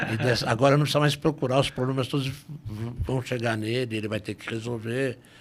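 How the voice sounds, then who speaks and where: Words come out at a very fast pace, the intonation staying fairly even. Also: man, medium pitch for a man. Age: 60s. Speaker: lawyer and police ombudsman. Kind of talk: podcast interview.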